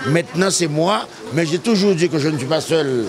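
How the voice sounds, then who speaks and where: Over noticeable background noise, a man speaks in a high pitch with lively intonation. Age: 70s. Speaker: community figure honored at inauguration. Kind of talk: public speech. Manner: emphatic, repetitive.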